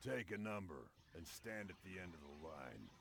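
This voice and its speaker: Using a put-on character voice at a very deep, low pitch, a man speaks at a moderate pace over clear background noise. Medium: video game.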